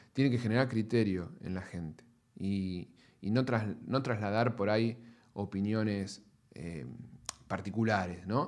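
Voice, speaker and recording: Fairly low in pitch, a man talks at a fairly slow pace with ordinary pitch variation. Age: 40s. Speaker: pest control industry scientist and business manager. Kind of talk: interview. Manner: halting with frequent fillers.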